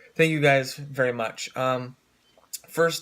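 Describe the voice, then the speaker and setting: The man's intonation stays fairly even while he talks at a moderate pace. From US Pacific Northwest, Oregon. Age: 20s. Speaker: fitness coach. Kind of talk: casual vlog. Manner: halting, many fillers.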